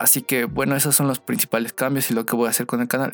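A man talks while music plays in the background. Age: 20s. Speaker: podcast host, web developer. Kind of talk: casual monologue.

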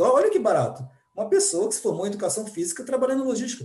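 A man speaks with very wide pitch swings. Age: 40s. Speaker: supply analyst. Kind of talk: podcast panel discussion.

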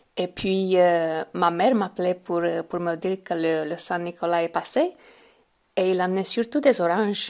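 A woman with a Romanian accent speaks at a fairly slow pace. The recording is very clean, with a silent background. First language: Romanian (speaking French). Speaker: French learner. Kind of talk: recorded testimony. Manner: halting, with hesitations.

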